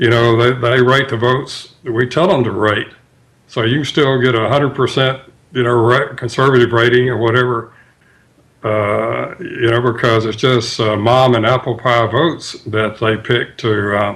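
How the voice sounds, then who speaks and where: A man speaks with a Mississippi accent at medium pitch. His pace is moderate and his intonation fairly even. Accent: Mississippi accent, smooth. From US South, Tupelo, Mississippi. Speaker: author. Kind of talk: radio interview. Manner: halting, many fillers.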